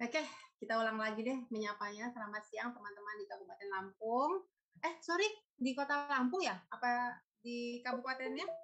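At a fairly quick pace, a woman speaks with a high pitch and lively intonation against a quiet background. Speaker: food stylist, culinary writer and lecturer. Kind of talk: webinar presentation. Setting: video call. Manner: halting. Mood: friendly, slightly flustered. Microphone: video call.

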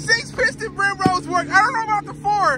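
This man's delivery is animated. Background noise is noticeable throughout. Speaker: car vlogger. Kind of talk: casual vlog talk. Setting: in a car. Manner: animated, excitable.

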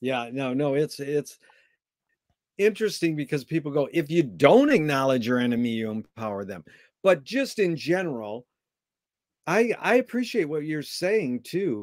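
With very wide pitch swings and long, frequent pauses, a man talks at a moderate pace in a fairly high pitch on a very clean recording with a silent background. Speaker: interviewer. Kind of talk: interview. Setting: live stream.

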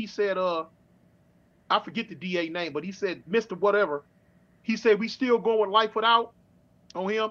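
A man with a high pitch and ordinary pitch variation speaks at a moderate pace. He leaves long, frequent pauses. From Los Angeles. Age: 50s. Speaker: former prison inmate; guest. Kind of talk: interview storytelling. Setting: online livestream. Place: home room. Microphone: webcam.

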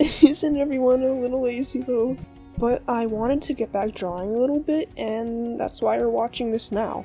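A woman speaks at a moderate pace in a high voice with ordinary pitch variation, with music playing in the background. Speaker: furry artist and fursuit maker. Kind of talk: casual talk to camera.

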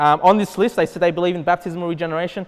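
A man speaks with an Australian accent. His pitch is high. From Australia, Sydney. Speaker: pastor. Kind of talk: sermon. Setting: church. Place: hall.

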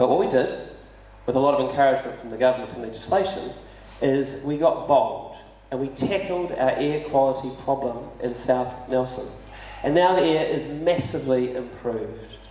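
At a moderate pace, a man with a New Zealand accent speaks at a fairly high pitch with ordinary pitch variation, amid audible room echo and light background noise. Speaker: city councillor and mayoral candidate. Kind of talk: candidate forum speech. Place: hall.

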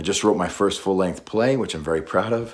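His pitch moves up and down in an ordinary way as the man talks. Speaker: voice actor; war veteran. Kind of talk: casual talk to camera. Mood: earnest, friendly, a bit playful. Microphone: phone near.

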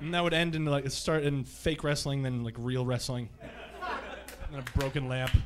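A man's fairly high voice at a moderate pace, fairly even in intonation, with hardly any pauses and noticeable background noise. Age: 30s. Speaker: stand-up comedian. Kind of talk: stand-up. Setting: stage with audience. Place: stage. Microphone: handheld.

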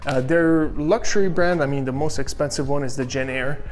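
A man talks at a moderate tempo while faint music plays behind him. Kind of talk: tour commentary. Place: kitchen. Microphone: phone near.

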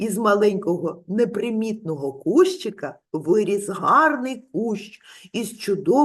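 The clip is plain reading aloud, and its intonation is lively.

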